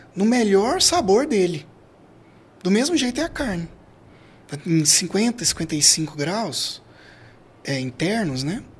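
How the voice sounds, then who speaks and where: This man's pitch swings very widely. His voice is high. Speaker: barbecue specialist. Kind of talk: casual chat. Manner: halting.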